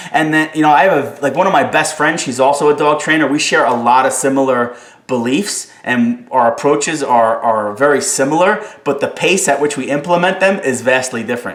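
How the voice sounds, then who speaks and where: A man with a New Jersey accent speaks at a fairly quick pace in an animated tone, with hardly any pauses. There is audible room echo. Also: ordinary pitch variation. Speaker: dog trainer. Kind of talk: live stream Q&A. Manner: fast.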